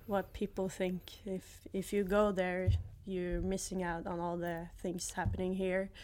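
In a Norwegian accent, a woman speaks at a medium pitch and a fairly slow pace with monotone, flat intonation. The recording is very clean, with a silent background. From Norway, near Oslo. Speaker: former college soccer player. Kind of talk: casual interview. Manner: laughs often.

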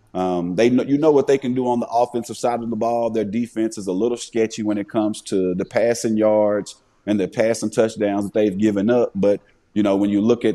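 At a fairly quick pace, a man with a Southern US accent speaks in a fairly low, dark, mellow voice with fairly even intonation. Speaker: retired NFL player. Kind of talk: casual interview chat. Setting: farm, snowy outdoors.

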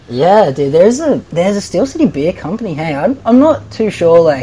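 A man speaks with an Australian accent. Noticeable background noise runs under his voice. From Australia, Nelson Bay NSW. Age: 20s. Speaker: bodyboarder. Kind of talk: casual chat.

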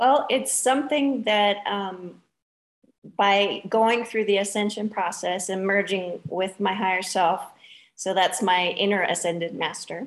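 A woman speaks at a fairly slow pace in an unremarkable speaking voice, her pitch medium. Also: ordinary pitch variation. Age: 40s. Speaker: spiritual teacher. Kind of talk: interview.

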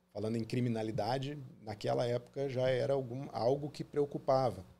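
A man of medium pitch, somewhat breathy with a dark, mellow tone, speaks at a moderate pace with fairly even intonation. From southern Brazil (Paraná, born Porto Alegre). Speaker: dentist. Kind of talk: interview.

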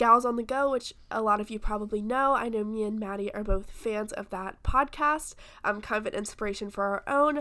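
On a very clean recording with a silent background, a woman with an American accent talks at a moderate pace with ordinary pitch variation. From US South. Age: 20s. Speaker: podcast co-host, college student. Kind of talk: casual chat.

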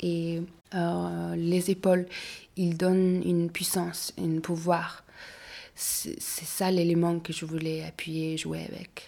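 In a Mongolian accent, a woman with a fairly low pitch and a dark, mellow tone speaks at a very slow pace with monotone, flat intonation on a very clean recording with a silent background. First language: Mongolian (speaking French). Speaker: fashion designer. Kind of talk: interview. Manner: halting.

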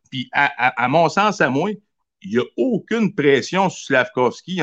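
Recorded with a dry, close sound with no echo and a quiet background, a man speaks at a fairly slow pace with very wide pitch swings. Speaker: caller, hockey fan. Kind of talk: casual chat.

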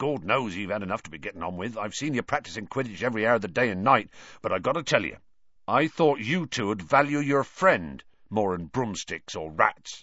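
A man puts on a character voice at a fairly quick pace with lively intonation. His fairly low pitch carries a bright, sharp tone and a slightly husky edge.

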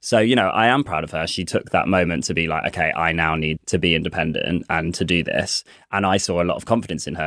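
A man's very deep, low voice at a very fast pace, in a very clean recording with a silent background. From Coventry, England. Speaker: playwright and director. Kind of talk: casual chat.

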